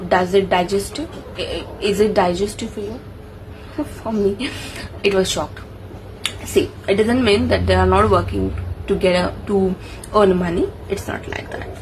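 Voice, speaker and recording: Pausing long and often, a woman speaks at a moderate pace amid noticeable background noise and audible room echo. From India, Maharashtra. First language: Marathi. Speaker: engineer and book review vlogger. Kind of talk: casual book summary vlog. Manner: halting, self-correcting.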